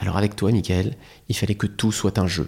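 Heard in a very clean recording with a silent background, a man speaks in a fairly low pitch. His tone is dark and mellow, and somewhat breathy. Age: 30s. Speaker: comedian. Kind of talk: casual chat. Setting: studio. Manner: halting.

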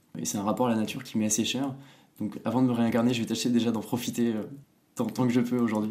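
With a dark, mellow tone and medium pitch, a man talks very fast in a flat monotone, broken by long, frequent pauses. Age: 20s. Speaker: startup founder. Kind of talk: interview.

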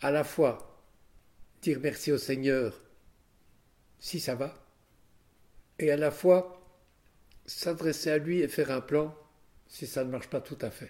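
A man's dark, mellow, fairly high voice at a very slow pace, with long, frequent pauses and fairly even intonation. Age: 80s+. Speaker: lawyer. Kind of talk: interview. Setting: at home.

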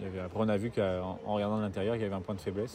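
Audible room echo around a man's fairly low, monotone, flat voice at a very fast pace. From southern France. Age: 20s. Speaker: sailor. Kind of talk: casual interview.

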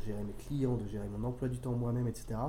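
A man's somewhat breathy voice, dark and mellow in tone, at a medium pitch and fairly quick pace, with audible room echo. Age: 30s. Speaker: freelance copywriter. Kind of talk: interview. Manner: halting, with frequent repetitions.

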